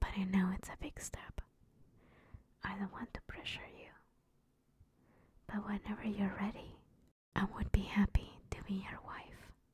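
Whispering and soft-spoken, the voice keeps a moderate pace broken by long, frequent pauses. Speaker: roleplay girlfriend voice actor. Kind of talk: ASMR roleplay monologue. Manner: soft tender whisper.

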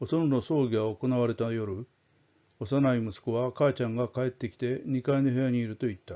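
Pitch varies in an ordinary way as the talking goes at a moderate pace. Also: man. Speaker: audiobook-style storyteller reading aloud. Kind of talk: dramatic narration of a ghost story, read aloud. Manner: formal, polite, measured.

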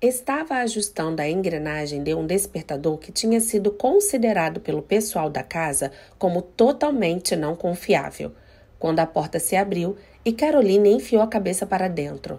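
In a very clean recording with a silent background, a woman speaks at a moderate pace. Her medium-pitched voice has a dark, mellow tone and very wide pitch swings. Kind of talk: audiobook reading of a novel, with a short channel intro. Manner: narrating in first person, voicing characters in dialogue.

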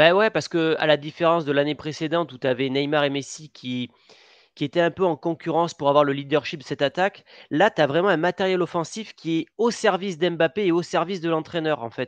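At a fairly quick pace, a man talks in a plain, everyday voice with a fairly high pitch and ordinary pitch variation, the sound dry with no echo and the background quiet. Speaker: football podcast host. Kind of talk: casual sports chat. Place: home room. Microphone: headset.

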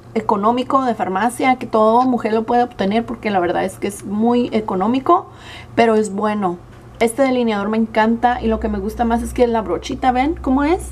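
A woman's voice at a fairly quick pace with ordinary pitch variation, over light background noise. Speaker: beauty vlogger. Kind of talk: casual vlog chat. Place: home room.

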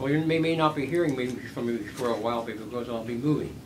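Over noticeable background noise, a man with a Philadelphia accent talks at a moderate pace and medium pitch with ordinary pitch variation. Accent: Philadelphia American. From US Northeast, West Philadelphia; Pennsylvania. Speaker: war veteran. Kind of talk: oral history interview. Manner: halting. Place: home room.

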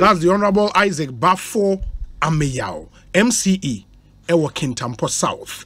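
This man has a Ghanaian accent and a high pitch. He talks at a fairly slow pace with lively intonation. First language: Twi. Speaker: radio host. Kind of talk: call-in community concerns show. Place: studio. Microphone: studio mic.

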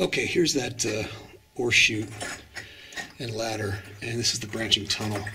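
Light noise runs behind the recording. A male voice proceeds at a moderate pace. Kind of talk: casual vlog commentary. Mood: calm, slightly wary of bats. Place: tunnel cave. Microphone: phone near.

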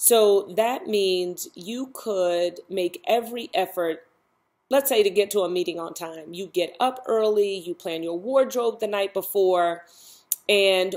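A woman at a very slow pace with ordinary pitch variation, in a quiet background. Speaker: self-help vlogger. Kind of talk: casual vlog chat. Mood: reflective, warm. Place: home room. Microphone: webcam.

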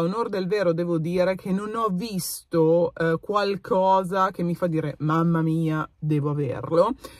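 A woman speaks at a fairly slow pace with a fairly low pitch and ordinary pitch variation. The sound is dry with no echo, and the background is quiet. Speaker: beauty vlogger. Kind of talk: casual vlog chat. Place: car. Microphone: phone near.

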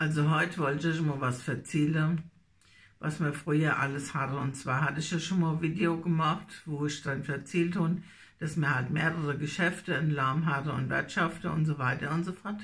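Somewhat breathy, a woman with a Hessian accent speaks at a very deep, low pitch and a moderate pace with fairly even intonation. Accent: Nassau Hessian dialect. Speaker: dialect storyteller. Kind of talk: casual talk to camera. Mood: nostalgic, warm. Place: home room. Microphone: phone near.

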